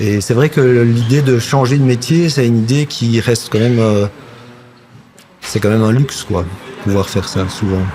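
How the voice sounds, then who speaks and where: Over noticeable background noise, a man speaks at a moderate pace and medium pitch with ordinary pitch variation, very even loudness and long, frequent pauses. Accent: slight Flemish. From Belgium, village near Brussels. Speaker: actor and puppeteer. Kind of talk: casual chat.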